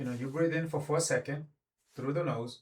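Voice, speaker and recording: Speaking with a non-native accent, a man with a fairly high pitch talks at a fairly quick pace with ordinary pitch variation. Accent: non-native accent, noticeable. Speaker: philosophy and self-help video host. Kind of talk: reflective talk to camera. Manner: halting, with many fillers and self-corrections.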